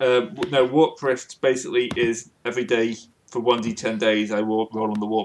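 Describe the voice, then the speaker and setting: A man with a normal speaking voice and medium pitch talks at a moderate pace. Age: 20s. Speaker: game master of tabletop roleplaying game. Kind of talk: tabletop game session, casual.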